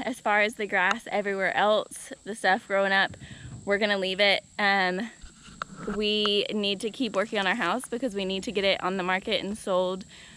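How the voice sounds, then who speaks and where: Over light background noise, a woman speaks at a moderate pace. Her intonation is monotone and flat, and the sound is dry with no echo. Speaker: homesteading vlogger. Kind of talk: casual vlog chat. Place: open country. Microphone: phone near.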